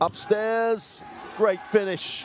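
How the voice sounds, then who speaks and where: A man speaks in an enthusiastic tone. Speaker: basketball commentator. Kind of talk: live play-by-play game commentary over highlights. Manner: enthusiastic, praising the play.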